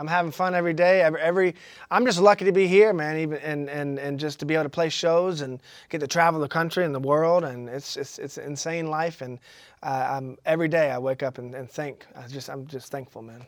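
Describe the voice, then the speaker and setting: This man has a Southern US accent and a fairly high pitch, with ordinary pitch variation. He talks at a fairly quick pace, and his loudness swings widely. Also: very clean recording, silent background. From Georgia, US South. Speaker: blues musician. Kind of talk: casual interview. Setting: studio.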